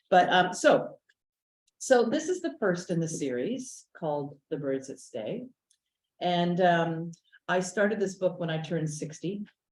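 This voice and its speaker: A woman speaks slowly-ish in a fairly low pitch with lively intonation and a somewhat breathy quality. Her speech is broken by long, frequent pauses. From Quebec, West Island of Montreal. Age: 60s. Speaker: novelist and playwright. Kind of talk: author talk. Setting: small audience in person, partly streamed online. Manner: halting, many fillers.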